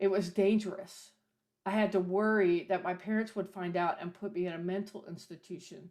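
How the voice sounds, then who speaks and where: A woman's monotone, flat intonation holds throughout as she talks at a moderate pace. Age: 60s. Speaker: minister and folk singer-songwriter. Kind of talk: talk at a service on history.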